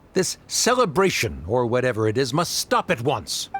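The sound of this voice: Putting on a character voice, a man swings his pitch very widely around a medium level, his fairly bright tone carrying a slightly husky edge at a moderate pace.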